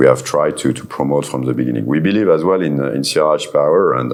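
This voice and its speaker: A man is speaking. He has a French accent. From France. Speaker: solar company executive. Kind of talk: panel discussion. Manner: halting.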